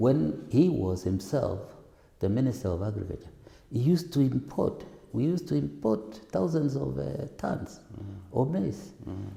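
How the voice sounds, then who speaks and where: Man with a fairly low, dark, mellow voice, vocal fry, very wide pitch swings and a fairly slow pace. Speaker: parliamentary aspirant. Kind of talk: interview answer. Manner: soft-spoken.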